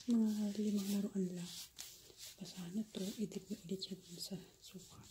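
A woman whispers at a moderate pace against noticeable background noise. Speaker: mom vlogger. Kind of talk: tutorial. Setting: home at night. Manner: whispering. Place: kitchen. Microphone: phone near.

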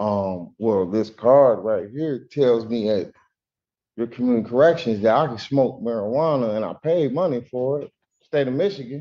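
Speaking at a moderate pace, a man holds a medium pitch with ordinary pitch variation.

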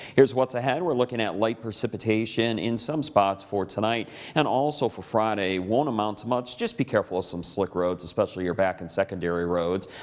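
A man with an American accent and a fairly low voice, fairly quick with hardly any pauses and ordinary pitch variation. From US Upper Midwest, Michigan's Upper Peninsula. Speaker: TV weather forecaster. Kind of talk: local TV weather report, walking viewers through radar maps and temperatures. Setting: TV studio. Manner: relaxed, conversational delivery with casual reassurances; occasional stumbles and repeated words. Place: studio.

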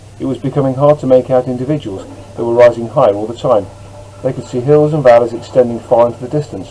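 What we hear is an unforced reading voice.

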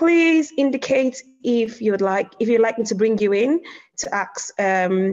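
This speaker has a plain, everyday voice, lively intonation and a fairly slow pace. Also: woman. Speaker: local councillor and event chair. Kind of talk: moderating an online discussion. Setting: video call.

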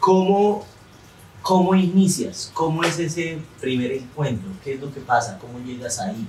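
A man with a fairly high pitch uses lively intonation and big swings in loudness at a fairly slow pace. Audible room echo and noticeable background noise fill the recording. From Colombia, Santander. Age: 30s. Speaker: comedian and interviewer. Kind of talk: casual interview. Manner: animated.

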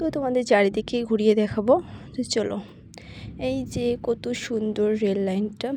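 Fairly high in pitch yet dark and mellow in tone, a woman speaks with ordinary pitch variation. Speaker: vlogger. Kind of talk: casual vlog narration. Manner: halting.

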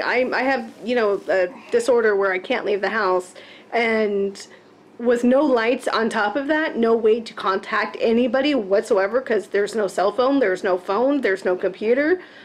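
A woman talks. She keeps a moderate pace. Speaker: host's housemate or partner. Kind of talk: casual chat. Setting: home kitchen. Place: kitchen. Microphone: webcam.

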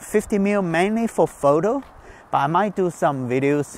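A man's fairly high, slightly mellow voice, with lively intonation at a fairly slow pace.

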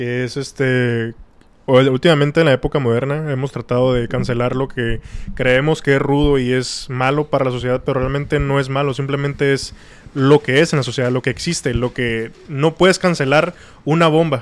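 A man talks with fairly even intonation and a medium pitch, keeping a moderate pace. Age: 20s. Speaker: podcast guest. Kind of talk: casual chat.

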